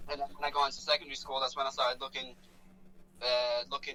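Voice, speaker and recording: Over noticeable background noise, the intonation sounds lively. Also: man. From Poland. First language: Polish. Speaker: rapper. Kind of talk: interview. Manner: halting.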